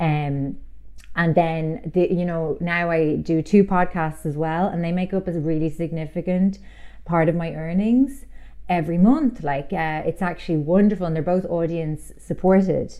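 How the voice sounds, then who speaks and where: Here is a woman with a fairly low pitch. She talks with an Irish accent. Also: ordinary pitch variation, moderate pace. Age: 30s. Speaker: author. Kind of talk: casual chat.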